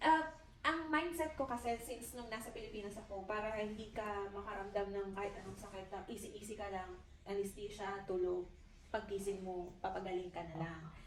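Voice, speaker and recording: A woman speaks at a fairly quick pace with ordinary pitch variation. Audible room echo and noticeable background noise fill the recording. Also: medium pitch for a woman. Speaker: interviewee, Filipino mother who migrated to Finland. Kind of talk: interview.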